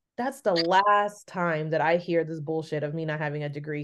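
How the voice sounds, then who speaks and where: Over a quiet background, a woman with a Bay Area accent speaks at a fairly quick pace with fairly even intonation. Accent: Bay Area Californian. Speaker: podcast host. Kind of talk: casual interview.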